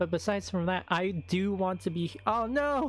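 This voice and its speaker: Music sits in the background while the speech moves at a fairly slow pace. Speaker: VTuber streamer. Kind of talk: casual chat. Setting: live stream. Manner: halting.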